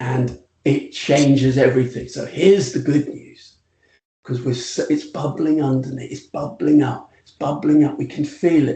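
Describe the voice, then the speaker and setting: Speaking at a moderate pace, the man has a British accent. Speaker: retail futurist. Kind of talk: podcast interview. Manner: animated.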